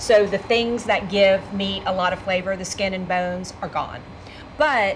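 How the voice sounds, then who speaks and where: A woman at a moderate pace with fairly even intonation over light background noise. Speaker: cooking show host. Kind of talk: cooking show conversation. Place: kitchen.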